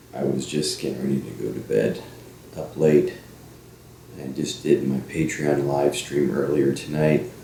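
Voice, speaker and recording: A man's very deep, low voice at a fairly slow pace, quiet and fairly even in intonation, with audible room echo. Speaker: paranormal investigator. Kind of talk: casual monologue. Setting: at home at night.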